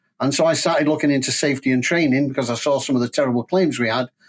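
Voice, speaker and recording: Speaking very fast at a medium pitch, a man with a Manchester accent comes through on a very clean recording with a silent background. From northern England, Manchester. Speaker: school transport safety expert. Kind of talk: interview. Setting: podcast.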